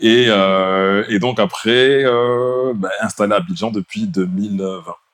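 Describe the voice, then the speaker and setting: A man speaks at a very slow pace. His pitch is medium, with ordinary variation. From France, Bordeaux. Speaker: podcast co-host, IT engineer. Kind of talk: casual chat.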